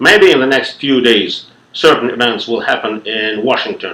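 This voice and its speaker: A man's bright, sharp tone at a moderate pace, with a slight non-native accent. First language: not English. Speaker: lecturer. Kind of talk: lecture. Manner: formal.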